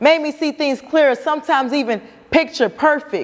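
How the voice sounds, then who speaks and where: Ordinary pitch variation from a woman speaking. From Cincinnati. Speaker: spoken word artist. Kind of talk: spoken word performance. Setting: live stage.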